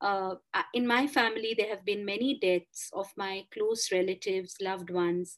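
The speaker has a Bengali accent and a moderate pace. Intonation stays fairly even. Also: woman, medium pitch for a woman. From India, Kolkata. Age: 40s. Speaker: author and columnist. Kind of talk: interview.

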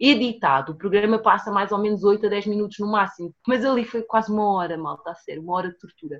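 At a fairly quick pace, a woman uses an ordinary speaking voice at medium pitch over a quiet background. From Portugal, raised from age 4; born São Tomé and Príncipe. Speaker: fashion designer and entrepreneur. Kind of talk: casual chat.

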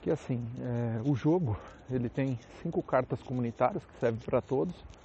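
Breathy to some degree, this man talks at a fairly slow pace in a medium pitch with ordinary pitch variation. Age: 30s. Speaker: podcaster. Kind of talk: casual monologue. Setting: outdoors, walking on the street. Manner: casual, colloquial.

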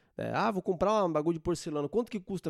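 On a very clean recording with a silent background, a man speaks with a dark, mellow tone. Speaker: podcast host. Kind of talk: casual comedic monologue. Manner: animated.

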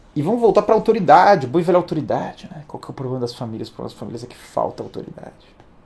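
A man talks at a very fast pace in a high voice, hardly pausing at all. His pitch swings very widely, his loudness swings a lot, and noticeable background noise sits behind him. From Brazil. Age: 30s. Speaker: livestream host. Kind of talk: livestream monologue. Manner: animated.

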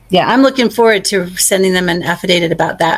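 Putting on a raspy character voice, a woman with a medium pitch races along at a very fast pace. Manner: enthusiastic.

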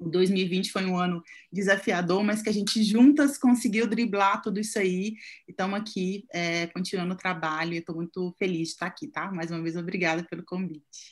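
A woman's medium-pitched, somewhat breathy voice at a moderate pace, with ordinary pitch variation, on a very clean recording against a silent background. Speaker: image consultant. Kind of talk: casual chat.

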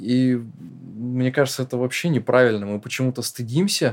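At a moderate pace, a man talks in a plain, everyday voice at medium pitch with fairly even intonation. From northern Russia. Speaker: screenwriter-producer, podcast co-host. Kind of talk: casual chat.

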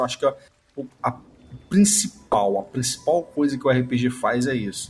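The man's somewhat breathy voice sits at a middle pitch and keeps a moderate tempo. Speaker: podcast host. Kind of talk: casual chat.

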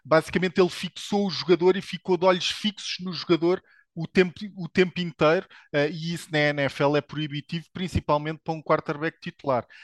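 A man speaks in a European Portuguese accent at a high pitch and a fairly quick pace, with fairly even intonation. His loudness swings widely over a quiet background. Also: dry, close sound with no echo. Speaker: NFL commentator. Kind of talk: casual sports panel discussion.

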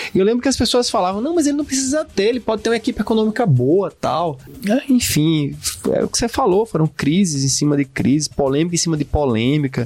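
Over music in the background, a man with a high pitch talks at a very fast pace, his pitch swinging very widely while his loudness stays very even. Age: 40s. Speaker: podcast co-host, humanities teacher. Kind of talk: casual educational discussion.

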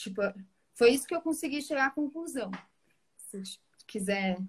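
A woman speaks in a somewhat breathy voice. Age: 20s. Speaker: pedagogue. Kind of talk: online live debate.

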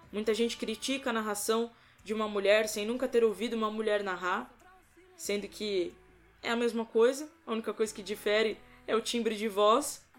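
Over music in the background, a woman speaks fairly quickly at a fairly high pitch. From Brazil, São Paulo state. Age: 20s. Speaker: sports commentator. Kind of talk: podcast interview.

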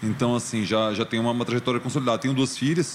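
A man talks with fairly even intonation. There is noticeable noise in the background. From Brazil, Goiânia (Goiás). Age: 40s. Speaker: journalist and radio host. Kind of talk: casual interview chat.

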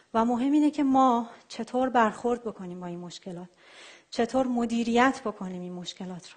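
A woman with an unremarkable speaking voice talks at a moderate pace and a fairly high pitch. Her loudness swings widely over a quiet background. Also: ordinary pitch variation. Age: 30s. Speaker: software engineer and traveler giving a talk.

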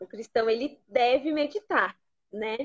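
In an unremarkable speaking voice, this woman's fairly slow delivery carries ordinary pitch variation. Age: 20s. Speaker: pastor. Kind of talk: teaching talk in a live stream interview.

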